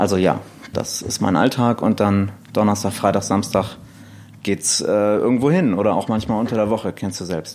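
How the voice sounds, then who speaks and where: At a moderate pace, a man talks in a normal speaking voice with a fairly low pitch and fairly even intonation. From northern Germany, near Elmshorn (Schleswig-Holstein). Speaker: DJ and blogger. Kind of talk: casual interview chat.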